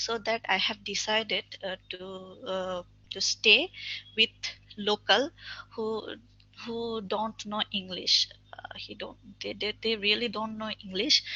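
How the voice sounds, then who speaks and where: With a Bangladeshi accent, a woman speaks very slowly at a fairly high pitch. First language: Bengali. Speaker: webinar speaker. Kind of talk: webinar talk. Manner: halting.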